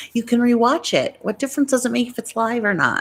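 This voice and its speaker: A woman's voice with vocal fry and an American accent. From New York. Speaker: YouTuber. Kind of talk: casual live stream chat. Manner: chatty, rambling. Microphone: good microphone.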